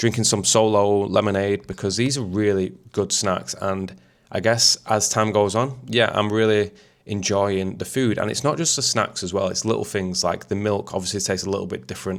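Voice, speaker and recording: A man with a Mancunian accent, fairly low pitch, ordinary pitch variation, and a moderate pace, on a very clean recording with a silent background. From Manchester, England. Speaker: YouTuber, expat vlogger. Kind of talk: casual talk to camera.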